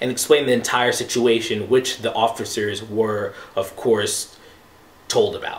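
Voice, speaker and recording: Through noticeable background noise, a man's intonation comes across fairly even. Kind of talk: casual opinion talk to camera. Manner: conversational, hesitant with filler words.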